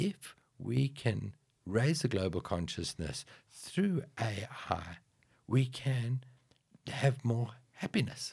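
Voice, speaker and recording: A man speaks at a very slow pace and medium pitch with very wide pitch swings and long, frequent pauses. His voice is somewhat breathy. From South Africa. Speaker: IT strategist and yogi. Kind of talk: casual podcast interview.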